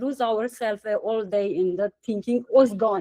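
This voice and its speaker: A woman speaks with a Romanian accent and ordinary pitch variation. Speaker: satsang participant. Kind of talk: Q&A sharing. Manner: halting.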